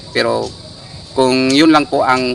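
A man talks at a fairly slow pace with noticeable background noise around him. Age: 40s. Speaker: vlogger and small business owner. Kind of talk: casual vlog monologue. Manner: halting, many fillers; polite.

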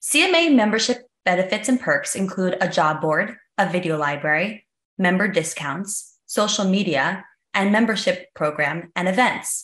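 Loudness stays very even throughout, and audible room echo surrounds the voice. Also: woman, ordinary pitch variation, moderate pace, quiet background. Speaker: event host. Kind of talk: webinar host introduction. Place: home room. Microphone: webcam.

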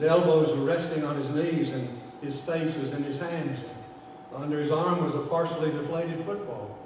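A man's fairly high, slightly mellow voice in strong room echo. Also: ordinary pitch variation, moderate pace.

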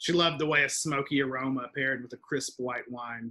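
In an American accent, a man with a fairly high pitch and bright, sharp tone speaks at a moderate pace with fairly even intonation against a quiet background. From Texarkana, Texas/Arkansas border; Texas/Arkansas border. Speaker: novelist. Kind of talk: reading aloud. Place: home room. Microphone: webcam.

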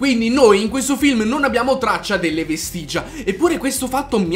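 Very wide pitch swings come through over light background noise. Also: man. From Italy. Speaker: YouTuber, anime film reviewer. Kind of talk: video review. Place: home room.

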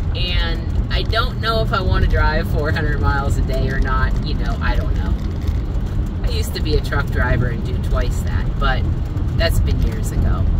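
Loud background noise runs under the recording. A woman speaks at a moderate pace with a dry, echo-free sound. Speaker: van camper vlogger. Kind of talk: casual vlog chat. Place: car.

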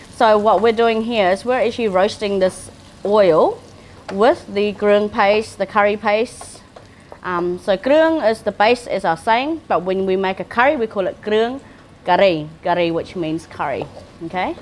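A woman talks at a moderate pace with ordinary pitch variation. Light background noise is present. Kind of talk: cooking tutorial. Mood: warm, enthusiastic. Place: kitchen.

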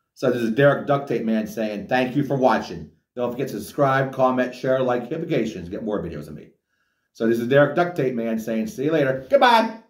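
In a room with audible echo but a quiet background, a man talks at a fairly quick pace. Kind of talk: sermon-like message to camera. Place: home room. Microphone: camera far.

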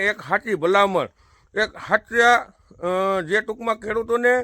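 A man speaks in a raised, projected voice with a bright, sharp tone. The sound is dry and close with no echo, in a very clean recording with a silent background. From Saurashtra, Gujarat (Junagadh district). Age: 30s. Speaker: farmer giving crop advice. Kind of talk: farming advice vlog. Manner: animated.

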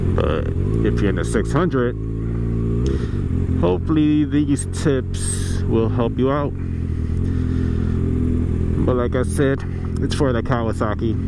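Over loud background noise, a man speaks at a very slow pace with long, frequent pauses, in a dry sound with no echo. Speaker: motorcycle rider vlogger. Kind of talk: casual vlog chat. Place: motorbike. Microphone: helmet.

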